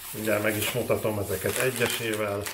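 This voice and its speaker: A fairly low-pitched man at a fairly quick pace, with noticeable background noise. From Slovakia, Komárno (Hungarian minority); Slovakia. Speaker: food and unboxing vlogger; unboxing vlogger. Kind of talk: casual vlog. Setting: home kitchen. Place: kitchen.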